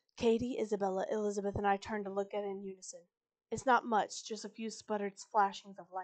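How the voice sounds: The background stays quiet as someone reads in a natural voice.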